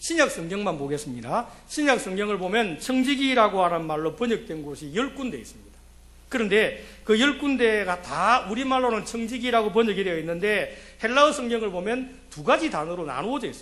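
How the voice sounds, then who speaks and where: With audible room echo, a man with a high pitch and a bright, sharp tone speaks with lively intonation and big swings in loudness. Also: fairly quick pace. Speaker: pastor. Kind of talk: sermon. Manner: fast.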